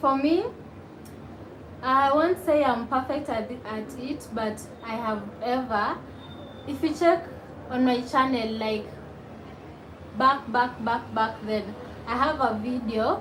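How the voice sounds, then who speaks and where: A high-pitched woman speaks at a very slow pace with long, frequent pauses. Noticeable background noise and audible room echo fill the recording. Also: ordinary pitch variation. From Kenya, Nairobi. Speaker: YouTuber. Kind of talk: live stream chat reading comments. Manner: casual, chatty.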